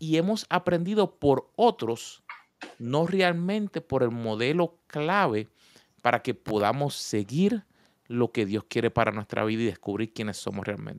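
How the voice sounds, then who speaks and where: At a fairly slow pace, a man with a Puerto Rican accent and medium pitch makes very wide pitch swings, recorded very cleanly against a silent background with a dry, close sound and no echo. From Puerto Rico. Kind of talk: casual faith talk.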